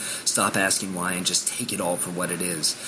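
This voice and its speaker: Noticeable background noise accompanies the voice of a man as he talks. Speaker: poet in addiction recovery. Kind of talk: spoken word poetry. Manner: intense, emotional.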